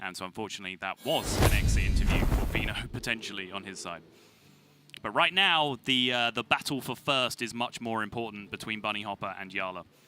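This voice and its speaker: Over music in the background, a man with a British accent talks at a fairly quick pace, his fairly low voice showing ordinary pitch variation. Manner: crisp T sounds, emphatic.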